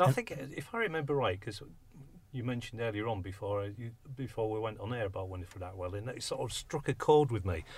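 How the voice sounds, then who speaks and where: Somewhat breathy and medium in pitch, a man talks at a very fast pace with ordinary pitch variation. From northern England, Hull. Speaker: community radio presenter. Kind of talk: casual chat. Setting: radio studio.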